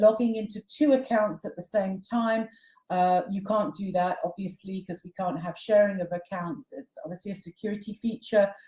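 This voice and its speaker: At a moderate pace, a woman with a British accent speaks in a dark, mellow tone at a fairly high pitch, somewhat breathy, with ordinary pitch variation and big swings in loudness. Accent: British, retained. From Britain. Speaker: company CEO presenting online training. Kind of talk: webinar tutorial. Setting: online webinar.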